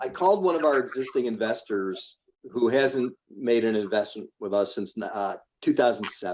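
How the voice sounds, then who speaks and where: This man has an unremarkable speaking voice at medium pitch. He talks at a moderate pace with lively intonation. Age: 60s. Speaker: real estate investor. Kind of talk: podcast interview.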